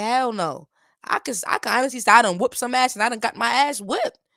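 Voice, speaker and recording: A woman with an American accent speaks in a fairly high, animated voice with ordinary pitch variation, the sound dry and close with no echo in a very clean recording against a silent background. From United States. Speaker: reaction YouTuber and rapper. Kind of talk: casual reaction commentary.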